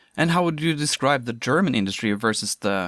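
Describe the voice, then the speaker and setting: Speaking with a Norwegian accent at a moderate pace and ordinary pitch variation, the voice is captured in a very clean recording, silent background, with dry, close sound with no echo. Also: man. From Norway. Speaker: podcast host. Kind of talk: podcast interview. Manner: halting.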